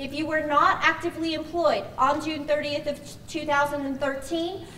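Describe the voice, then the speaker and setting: The delivery has monotone, flat intonation, and room echo is audible. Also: woman. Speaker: pension plan representative. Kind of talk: orientation presentation. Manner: fast.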